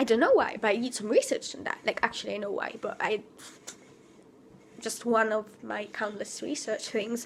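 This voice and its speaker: A woman speaks at a moderate pace, her loudness rising and falling sharply, with noticeable background noise. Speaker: vlogger. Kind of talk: spontaneous vent vlog. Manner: halting.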